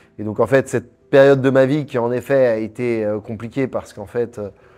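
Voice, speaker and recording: A man talks at a moderate pace with a medium pitch. His tone is dark and mellow, and his intonation stays monotone and flat. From Paris, France. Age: 30s. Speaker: entrepreneur. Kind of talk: interview.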